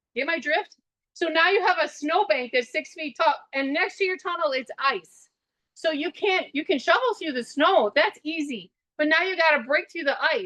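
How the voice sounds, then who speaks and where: Her raised, projected voice has a high pitch and a bright, sharp tone. The woman has an American accent and keeps a moderate pace. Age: 60s. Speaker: farmer. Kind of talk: webinar walkthrough talk. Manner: conversational, with fillers.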